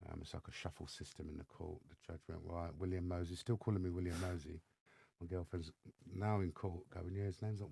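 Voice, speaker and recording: In an English accent, a man talks at a fairly quick pace with a very deep, low pitch, a dark, mellow tone and fairly even intonation. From England, south-east London. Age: 50s. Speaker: mentor and former gang member. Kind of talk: podcast interview, personal storytelling. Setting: studio.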